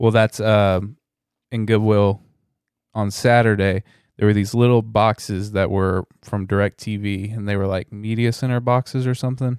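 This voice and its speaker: A man with a fairly low pitch speaks at a moderate pace in a flat monotone, the sound dry and close with no echo and the recording very clean over a silent background. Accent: American. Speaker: reseller podcaster. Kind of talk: casual chat.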